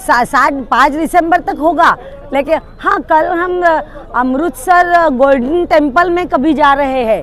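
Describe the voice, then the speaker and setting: A woman speaks at a high pitch with ordinary pitch variation. Crowd noise fills the background. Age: 70s. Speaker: retired mathematics professor, cyclist. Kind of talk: interview. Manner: halting.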